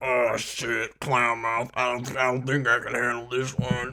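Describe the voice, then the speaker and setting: Doing a put-on character voice, a man sounds raspy, his intonation monotone and flat. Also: medium pitch for a man, moderate pace. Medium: actual play.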